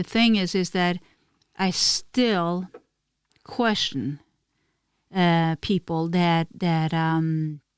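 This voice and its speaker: A woman with a Norwegian accent speaks at a fairly low pitch, with ordinary pitch variation. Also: very clean recording, silent background. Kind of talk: casual podcast conversation.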